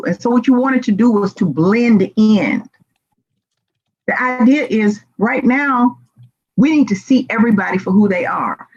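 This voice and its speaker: A woman speaks with a Southern US accent at a moderate pace. Her pitch sits fairly high. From US South, Memphis Tennessee. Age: 60s. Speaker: diversity and inclusion speaker. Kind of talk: conference presentation. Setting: virtual conference.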